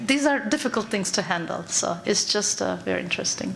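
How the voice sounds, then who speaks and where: Amid noticeable background noise and audible room echo, a woman with a Turkish accent talks at a moderate pace. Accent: Turkish accent, kept. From Turkey. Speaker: psychologist. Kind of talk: conference talk. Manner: halting.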